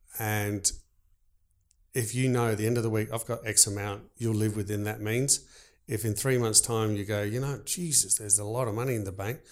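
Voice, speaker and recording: A man talks at a fairly quick pace with a fairly low pitch and fairly even intonation. The recording is very clean, with a silent background. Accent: Australian. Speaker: baker and business owner. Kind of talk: casual interview.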